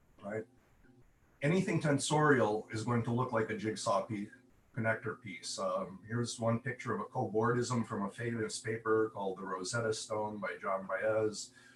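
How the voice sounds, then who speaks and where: A man's voice shows ordinary pitch variation, and noticeable background noise can be heard. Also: medium pitch for a man, moderate pace. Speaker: conference speaker, AI researcher. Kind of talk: conference talk with slides. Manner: hesitant with fillers.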